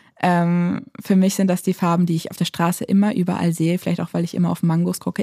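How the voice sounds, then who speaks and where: A woman talks at a very fast pace with hardly any pauses, in a fairly low, somewhat breathy voice with a dark, mellow tone and fairly even intonation, on a very clean recording with a silent background. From Lower Saxony, Germany. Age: 20s. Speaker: aid worker. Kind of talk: interview.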